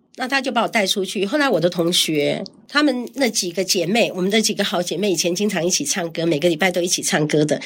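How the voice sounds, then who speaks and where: A woman races along at a very fast pace with hardly any pauses. Her intonation is lively. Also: medium pitch for a woman. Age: 60s. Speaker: ovarian cancer survivor and community elder-care founder. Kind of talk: casual interview.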